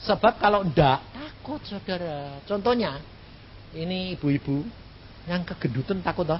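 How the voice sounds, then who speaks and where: The voice belongs to a man. He uses lively intonation. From Central Java, Indonesia. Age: 60s. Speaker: evangelist preacher. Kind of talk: sermon. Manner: casual, humorous.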